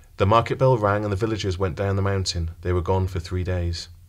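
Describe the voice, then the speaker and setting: Over a very clean recording with a silent background, a man speaks fairly quickly in a somewhat breathy, dramatic tone at a fairly low pitch. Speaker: audiobook narrator. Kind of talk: audiobook narration of a fairy-tale story, with character voices. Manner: storyteller's measured, dramatic delivery; shifts into distinct character voices.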